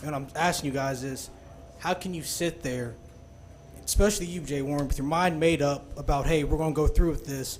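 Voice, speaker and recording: The speaker has an American accent, and audible room echo surrounds the voice. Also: man. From Kansas, US. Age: 20s. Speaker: college student, public commenter. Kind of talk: public comment. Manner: impassioned.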